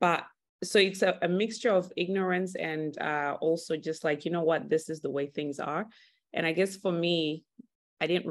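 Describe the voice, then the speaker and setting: Against a quiet background, a woman with an American accent and an ordinary speaking voice talks at a moderate pace, with fairly low pitch and ordinary pitch variation. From Texas. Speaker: hair care brand owner. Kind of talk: interview.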